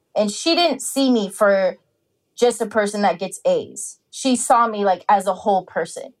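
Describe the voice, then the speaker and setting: A woman with a normal speaking voice, pitched fairly high, with ordinary pitch variation at a moderate pace. The recording is very clean, with a silent background. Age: 30s. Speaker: university student, formerly incarcerated. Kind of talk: interview.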